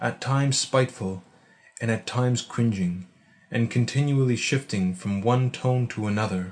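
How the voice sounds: A natural reading voice, pitch rising and falling in an ordinary way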